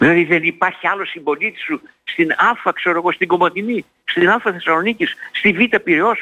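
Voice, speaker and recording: A man is speaking. His pace is moderate. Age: 80s+. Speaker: sociologist and psychologist. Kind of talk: radio interview. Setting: radio studio or phone. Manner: animated.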